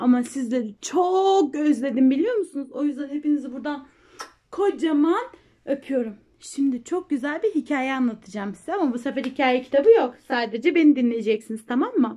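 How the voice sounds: Her voice is high-pitched, with a dark, mellow tone. The woman speaks at a fairly quick pace with lively intonation.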